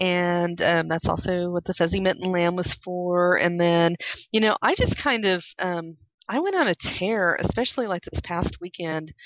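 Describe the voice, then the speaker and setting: A woman with a plain, everyday voice, fairly low in pitch, at a moderate pace and with fairly even intonation. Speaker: podcast host. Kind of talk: casual chat.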